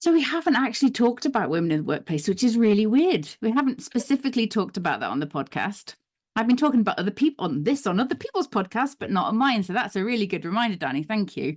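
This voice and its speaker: Somewhat breathy, the voice races at a very fast pace with very wide pitch swings and hardly any pauses, on a very clean recording with a silent background. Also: woman, fairly high pitch for a woman. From Northern Ireland. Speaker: occupational psychologist. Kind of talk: casual interview chat.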